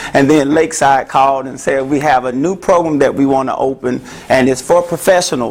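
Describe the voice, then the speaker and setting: Amid noticeable background noise, a man with a Memphis accent and fairly high pitch speaks at a fairly quick pace. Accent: Southern US (Memphis). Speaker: therapist. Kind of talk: talk to an audience. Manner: loud; animated.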